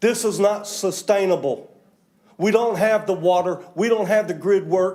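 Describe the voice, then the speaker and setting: Loud and high in pitch, a man talks at a moderate pace. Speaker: public commenter at county meeting. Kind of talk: public comment. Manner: animated.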